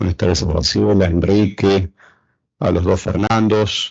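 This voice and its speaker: A man talks in an Argentine accent, somewhat breathy. His intonation stays fairly even. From Argentina. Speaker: political science professor. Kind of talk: panel talk. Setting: round table with audience. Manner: halting, many fillers.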